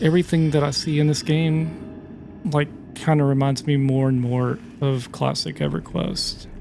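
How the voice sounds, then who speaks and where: Over noticeable background noise, a man with a fairly high pitch speaks quietly in a relaxed tone at a moderate pace, his loudness very even and his intonation fairly even. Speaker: gaming YouTuber. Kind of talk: let's play gameplay commentary. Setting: at home, late at night. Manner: casual, relaxed; quiet, keeping voice down.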